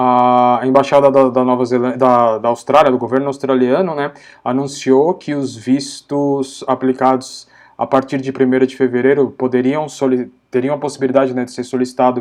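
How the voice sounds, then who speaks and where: A man speaks at medium pitch and a moderate pace. His intonation stays monotone and flat. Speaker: live stream host for study-abroad agency. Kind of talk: live stream Q&A chat. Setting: live stream on Instagram and Facebook.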